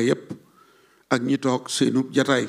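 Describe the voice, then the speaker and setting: Very slow, monotone, flat delivery in a Senegalese accent. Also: man. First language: Wolof (speaking French). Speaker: religious historian. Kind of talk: formal speech.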